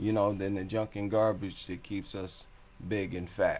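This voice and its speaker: Speaking at a fairly slow pace, a man with a fairly low voice has a plain, everyday voice. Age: 40s. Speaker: vegan cooking vlogger. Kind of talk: casual vlog talk to camera. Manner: casual, conversational with repetitions.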